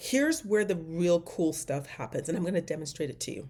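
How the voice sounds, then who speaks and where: A woman speaks at a fairly quick pace with an animated tone and lively intonation. Her voice is somewhat breathy on a very clean recording with a silent background. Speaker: AI trainer and business owner. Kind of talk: casual tutorial monologue. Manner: fast.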